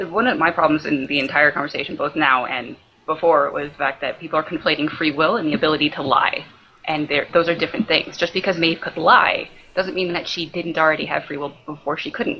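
A woman speaks at a fairly quick pace with a very deep, low pitch and ordinary pitch variation. Her loudness swings widely, and background noise is noticeable. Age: 20s.

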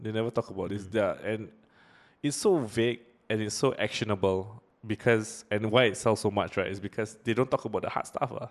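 A man at fairly low pitch, fairly quick with fairly even intonation, against a quiet background. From Singapore. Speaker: podcast host. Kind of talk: casual chat.

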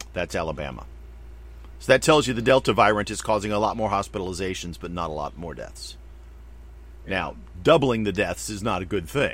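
The speaker talks at a fairly quick pace with vocal fry and very wide pitch swings. Loudness swings widely, and pauses are long and frequent. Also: man, very deep, low pitch for a man. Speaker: podcast host. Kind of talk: casual chat.

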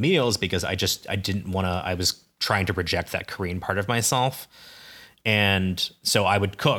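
With a Midwestern US accent, a man with a fairly low pitch and a bright, sharp tone talks at a moderate pace and fairly even intonation, recorded very cleanly with a silent background. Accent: General American, Midwestern. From US Midwest (Ames, Iowa). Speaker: podcast co-host. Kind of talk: casual chat.

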